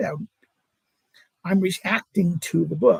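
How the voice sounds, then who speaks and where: Dry, close audio with no echo of a man talking at a fairly quick pace, with vocal fry and ordinary pitch variation. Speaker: political philosophy academic and video creator. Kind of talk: live stream monologue. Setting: home at mother-in-law's. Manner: stutter; halting.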